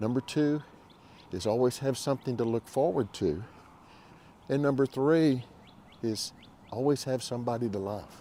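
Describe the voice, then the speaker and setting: Speaking at medium pitch with a dark, mellow tone, a man keeps a moderate pace with ordinary pitch variation and long, frequent pauses. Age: 70s. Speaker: senior-life YouTuber who still works. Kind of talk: casual talk to camera. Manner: conversational, reflective.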